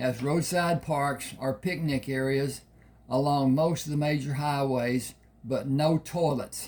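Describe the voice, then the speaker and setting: At a very slow pace, a man with a fairly high pitch sounds somewhat breathy and keeps a fairly even intonation. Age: 80s+. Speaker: author reading his own novel. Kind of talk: reading aloud. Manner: halting.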